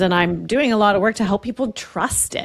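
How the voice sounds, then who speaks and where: A woman's medium-pitched voice with vocal fry, at a moderate pace. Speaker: podcast host. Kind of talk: podcast interview questions.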